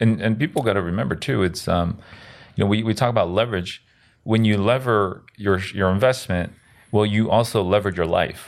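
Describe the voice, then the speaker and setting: In a normal speaking voice with an American accent, a man talks at a fairly quick pace and fairly low pitch, his pitch varying in an ordinary way. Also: very clean recording, silent background. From South America-born Korean American. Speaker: real estate investor. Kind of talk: casual chat.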